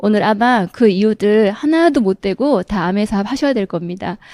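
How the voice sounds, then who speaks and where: With a Gyeongsang accent, a woman speaks at a moderate pace in a fairly high pitch and a dark, mellow tone, recorded very clean with a silent background and a dry, close sound with no echo. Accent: Gyeongsang dialect intonation, still present. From South Korea, Daegu (Gyeongsang). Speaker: direct sales distributor. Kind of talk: motivational seminar talk.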